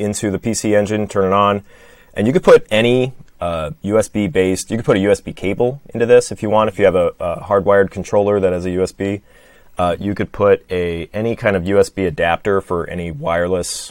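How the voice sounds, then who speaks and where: A fairly low-pitched man with a Midwestern American accent, at a moderate pace with ordinary pitch variation, in a dry, close recording with no echo, very clean, with a silent background. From Michigan. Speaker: podcast guest co-host. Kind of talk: casual conversational.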